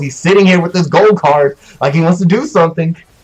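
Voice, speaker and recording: A man's loud, high voice at a very fast pace with ordinary pitch variation, against noticeable background noise. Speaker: esports caster. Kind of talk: live commentary. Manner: animated.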